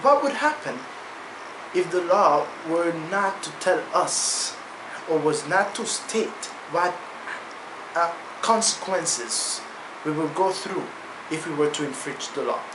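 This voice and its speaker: Someone with a non-native accent speaks at a fairly slow pace over noticeable background noise. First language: non-native English speaker. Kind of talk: casual talk to camera.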